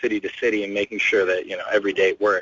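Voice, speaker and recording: Here a man speaks at medium pitch. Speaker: band member. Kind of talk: interview. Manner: mumbling; halting. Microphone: muffled.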